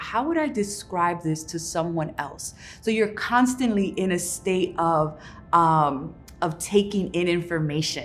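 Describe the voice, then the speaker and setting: A woman's fairly low voice over music in the background. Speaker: poet and author. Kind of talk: casual instructional talk to camera.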